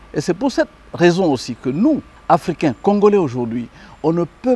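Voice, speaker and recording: A man with a dark, mellow tone talks at a fairly slow pace, his pitch swinging very widely, in a dry, close sound with no echo. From DR Congo. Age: 60s. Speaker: lawyer and commentator. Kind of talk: interview. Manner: hesitant, many fillers.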